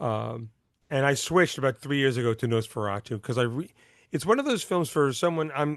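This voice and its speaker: The background is quiet as a man speaks at a fairly quick pace. His pitch variation is ordinary. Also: medium pitch for a man. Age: 60s. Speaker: silent film accompanist and author. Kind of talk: interview. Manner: halting, many repetitions.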